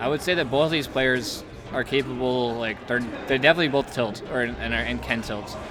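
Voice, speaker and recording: Against music in the background, a man speaks at a fairly quick pace with fairly even intonation. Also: medium pitch for a man. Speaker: esports commentator. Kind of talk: live commentary. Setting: venue with live audience. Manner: casual, filler-heavy; quieter, lowered voice.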